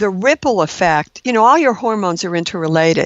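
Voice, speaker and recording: A woman at a medium pitch and moderate pace, in a plain, everyday voice. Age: 60s. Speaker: registered nurse and keto diet expert. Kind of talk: podcast interview.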